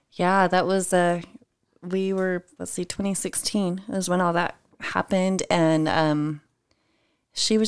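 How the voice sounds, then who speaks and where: In a normal speaking voice, a woman talks at a fairly slow pace and fairly low pitch, with fairly even intonation. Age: 40s. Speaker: entrepreneur and mother of eight. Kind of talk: casual chat.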